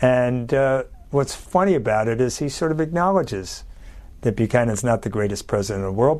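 With a plain, everyday voice, a man talks fairly quickly at a medium pitch and with lively intonation. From Philadelphia, US. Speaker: journalist and author. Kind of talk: interview.

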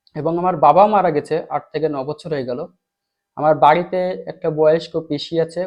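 This is a plain, everyday voice. A man speaks it with a fairly high pitch. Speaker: teacher. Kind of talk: tutorial.

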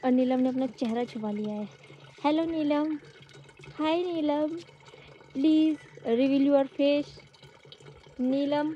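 Very slowly, a woman speaks in a high voice with ordinary pitch variation and long, frequent pauses. The sound is dry with no echo, over light background noise. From Uttarakhand, Garhwal; Uttarakhand. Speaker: village vlogger. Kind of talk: vlog narration. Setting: outdoors. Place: open country. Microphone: phone near.

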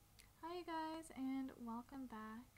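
A woman is mumbling. Noticeable background noise runs underneath. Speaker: artist. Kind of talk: drawing tutorial talk. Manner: casual, mumbling to herself.

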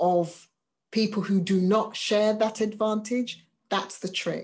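In an English accent, a woman speaks at a medium pitch against a quiet background. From England. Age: 50s. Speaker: diversity vocations officer for a church; webinar speaker. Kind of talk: webinar talk. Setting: video call. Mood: earnest, engaged. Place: home room. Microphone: webcam.

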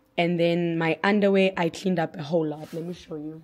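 The speaker's intonation stays fairly even. There is noticeable noise in the background. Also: woman. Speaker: lifestyle vlogger. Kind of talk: casual vlog. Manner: hesitant, many fillers.

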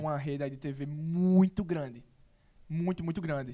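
A man speaks with a northeastern Brazilian accent and a dark, mellow tone. His intonation is fairly even, with a quiet background. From Northeast Brazil. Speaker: actor. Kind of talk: interview answer. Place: studio. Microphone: studio mic.

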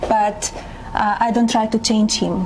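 Noticeable background noise runs under this recording. A woman speaks in a monotone, flat intonation. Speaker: first lady. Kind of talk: interview answer. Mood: calm, composed. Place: home room. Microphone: lapel.

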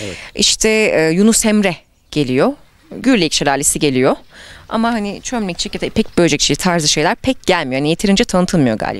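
A woman's fairly low pitch with very wide pitch swings, an animated tone, a fairly quick pace and dry sound with no echo. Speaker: reporter. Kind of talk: interview. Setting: outdoors. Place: street. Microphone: handheld.

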